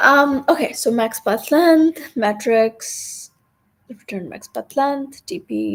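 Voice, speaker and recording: A woman talks fairly slowly in a very clean recording, the background silent. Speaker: coding streamer. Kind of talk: live coding tutorial. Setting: live stream. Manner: halting.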